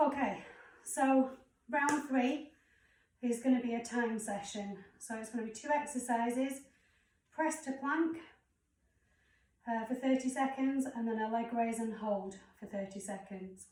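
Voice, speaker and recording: Audible room echo accompanies a woman speaking fairly slowly in a high pitch, with long, frequent pauses. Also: ordinary pitch variation. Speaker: fitness instructor. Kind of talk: workout instruction.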